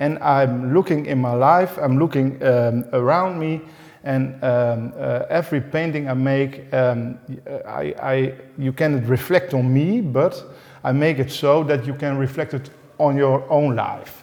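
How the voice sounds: Speaking fairly slowly at a medium pitch, a man has a slightly mellow tone, vocal fry and ordinary pitch variation.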